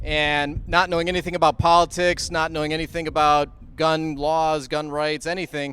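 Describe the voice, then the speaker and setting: The speaker has a Midwestern American accent and monotone, flat intonation. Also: man. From US Midwest (Illinois). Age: 30s. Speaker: gun rights activist. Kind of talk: rally speech. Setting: stage at outdoor rally. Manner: conversational, with frequent fillers.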